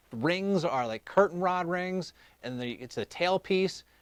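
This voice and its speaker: A man with an American accent talks at a moderate pace in a high voice with very wide pitch swings. The recording is very clean, with a silent background and a dry, close sound with no echo. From Ohio. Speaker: live show host. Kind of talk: casual live-stream chat.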